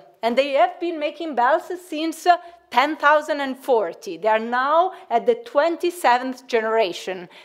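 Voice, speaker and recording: A high-pitched woman with an Italian accent and lively intonation. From Italy. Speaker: researcher. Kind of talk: conference presentation. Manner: hesitant, many fillers.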